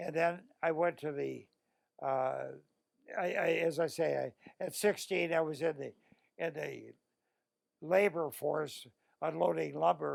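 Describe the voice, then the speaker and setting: A man with a Midwestern US accent speaks at a fairly slow pace. He leaves long, frequent pauses. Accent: US Midwest. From Illinois, Joliet. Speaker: war veteran. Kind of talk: oral history interview. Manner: halting.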